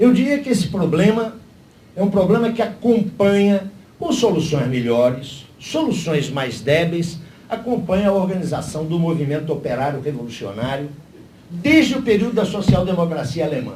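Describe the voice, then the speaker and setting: The voice swings very widely in pitch at a moderate pace. Room echo is audible. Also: man, high pitch for a man. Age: 60s. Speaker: panelist at political party seminar. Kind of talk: seminar talk. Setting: panel with live audience. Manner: formal.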